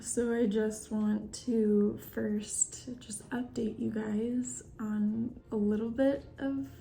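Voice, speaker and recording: A soft-spoken voice with fairly even intonation carries audible room echo. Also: woman. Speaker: vlogger. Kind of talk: casual chat. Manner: halting.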